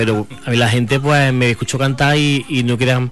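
Fairly quick speech from a man, with noticeable background noise behind it. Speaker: singer. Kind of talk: interview.

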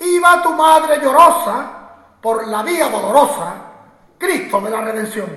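Very slowly and with a raised, projected voice, a man speaks in a solemn tone at an extremely high pitch, his pitch swinging very widely. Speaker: Holy Week proclaimer, orator. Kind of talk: ceremonial oration with rhymed verse, poetic declamation. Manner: solemn, rhetorical, rhythmic, impassioned.

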